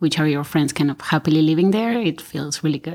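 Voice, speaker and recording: In an Argentine accent, the voice comes through a very clean recording with a silent background. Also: woman. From Argentina. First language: Spanish. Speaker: architect and firm owner. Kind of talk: roundtable discussion.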